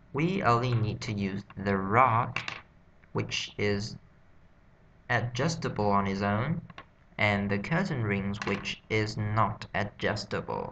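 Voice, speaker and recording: With a Vietnamese accent, a man talks at a very slow pace, leaving long, frequent pauses and using ordinary pitch variation. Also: fairly low pitch for a man. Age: 20s. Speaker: English learner vlogger. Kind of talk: self-study vocabulary practice. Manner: halting.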